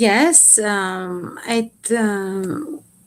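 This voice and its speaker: A woman speaks with a Bulgarian accent and lively intonation. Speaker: poet. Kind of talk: interview. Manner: halting.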